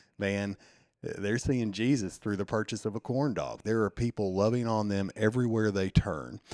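A man with a Southern US accent speaks at a moderate pace, his fairly low pitch in a dark, mellow tone with ordinary variation. The very clean recording has a silent background and a dry, close sound with no echo. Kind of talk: casual interview.

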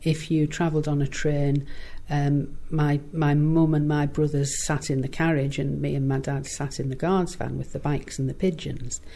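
Her voice has a very deep, low pitch and a dark, mellow tone, and this woman speaks in a monotone with flat intonation. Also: moderate pace. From northern England, Middlesbrough. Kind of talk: interview. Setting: office.

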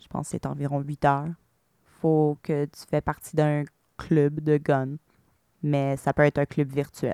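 A woman with a very deep, low pitch speaks fairly slowly in a monotone, flat intonation with long, frequent pauses, in a dry, close sound with no echo. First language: English (speaking French). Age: 30s. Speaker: shooting survivor. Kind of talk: testimony. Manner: hesitant, frequent fillers.

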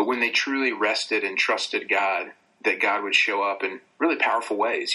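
Someone with a Southern US accent speaks at a moderate pace over noticeable background noise. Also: man. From US South, North Carolina. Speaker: author and radio host. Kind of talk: casual interview, storytelling. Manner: warm, conversational, storyteller.

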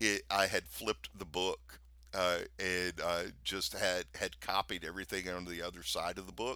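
With an American accent, a man speaks at a moderate pace in a very deep, low voice that has a bright, sharp tone and fairly even intonation. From US South, Louisiana. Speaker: pastor. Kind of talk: casual chat.

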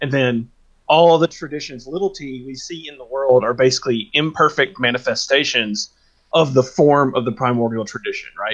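A man talks at a moderate pace in a plain, everyday voice, fairly high in pitch with ordinary pitch variation and big swings in loudness. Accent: American. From US South. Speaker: podcast co-host. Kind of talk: casual discussion.

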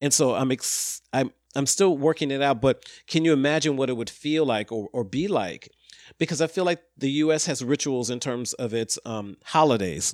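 A man talks with a fairly high pitch, ordinary pitch variation and a normal speaking voice. His pace is moderate, and the recording is very clean with a silent background. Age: 50s. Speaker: podcast guest discussing social issues. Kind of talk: casual conversation.

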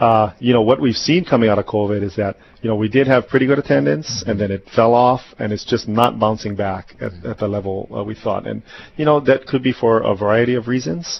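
Very fast delivery with ordinary pitch variation. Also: man, medium pitch for a man. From Hawaii, Big Island (South Kona). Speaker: nonprofit executive director. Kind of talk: radio interview. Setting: studio. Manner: halting, many fillers.

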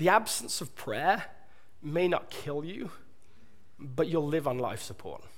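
With a southern British accent, a man speaks at a fairly slow pace and fairly high pitch, his intonation lively and his voice showing vocal fry. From southern England. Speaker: pastor preaching a sermon. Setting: church stage. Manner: conversational, energetic.

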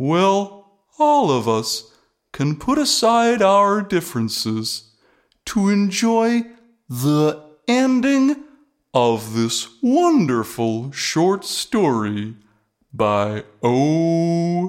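At a middle pitch, this voice moves very slowly while its pitch swings very widely. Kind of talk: cheesy radio announcer. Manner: gushing, rambling, folksy.

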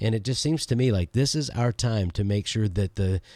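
An ordinary speaking voice talks at a moderate pace. The intonation is lively. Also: man. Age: 50s. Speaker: podcast co-host, church leader. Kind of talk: casual conversation about church. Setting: remote recording from his office.

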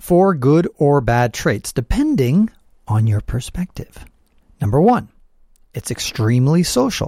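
A man talks at a fairly slow pace with long, frequent pauses, his fairly high pitch making very wide swings. His somewhat breathy voice has a dark, mellow tone, heard in a dry, close sound with no echo. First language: Spanish. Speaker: podcast host and travel writer. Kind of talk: reading aloud own article with commentary; casual commentary.

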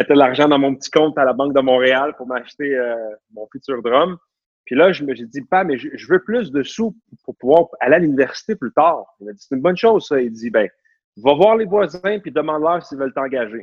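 A man's fairly high, animated voice, fairly quick, with lively intonation and big swings in loudness. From Quebec, Laval. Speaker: real estate broker. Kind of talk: interview conversation.

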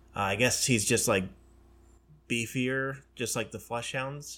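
Recorded very cleanly against a silent background, a man speaks at a moderate pace in a bright, sharp tone. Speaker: hobby co-host. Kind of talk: casual chat.

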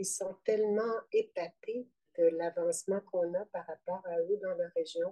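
A woman speaks at a medium pitch in a dark, mellow tone with fairly even intonation. The sound is dry and close, with no echo. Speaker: midwife and perinatal trainer. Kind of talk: interview testimony.

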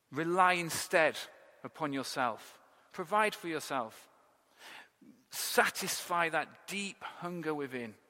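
A man with an English accent, fairly high in pitch, bright and sharp in tone, ordinary pitch variation, a very slow pace with long, frequent pauses. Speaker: pastor. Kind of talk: sermon. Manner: animated.

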